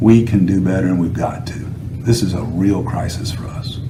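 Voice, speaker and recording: A man in a Southern US accent at a moderate pace, with noticeable background noise and audible room echo. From North Carolina, Winston-Salem. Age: 60s. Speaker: political candidate. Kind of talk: interview. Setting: sit-down interview.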